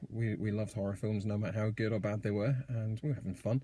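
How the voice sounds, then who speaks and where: A man at a medium pitch, fairly quick and somewhat breathy, with a dark, mellow tone. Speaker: horror fan and writer. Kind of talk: casual talk to camera. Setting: in a car.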